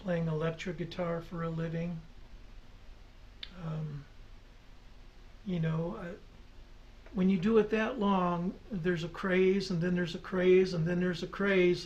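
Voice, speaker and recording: A man's high-pitched, monotone, flat delivery, fairly slow with long, frequent pauses, in audible room echo. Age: 60s. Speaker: folk singer-songwriter. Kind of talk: radio interview. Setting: studio. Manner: halting.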